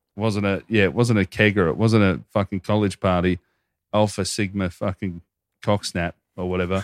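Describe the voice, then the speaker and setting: On a very clean recording with a silent background and a dry, close sound with no echo, a man with an Australian accent talks at a moderate pace, with a fairly low pitch and fairly even intonation. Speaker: podcast co-host. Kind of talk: read-out ad; casual chat.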